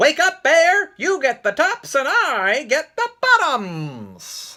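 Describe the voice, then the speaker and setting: High pitch and a very slow pace in a put-on character voice. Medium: read story. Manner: eager, smooth-talking.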